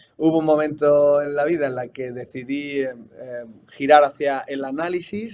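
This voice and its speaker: A man speaks with a Spanish accent at a fairly high pitch. His intonation is fairly even. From Spain, Seville. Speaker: football coach and analyst. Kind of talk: interview.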